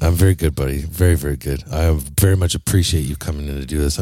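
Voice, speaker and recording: A man's very deep, low voice at a very fast pace, with fairly even intonation over noticeable background noise. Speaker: podcast host. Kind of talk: informal, profane. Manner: casual, heavy swearing.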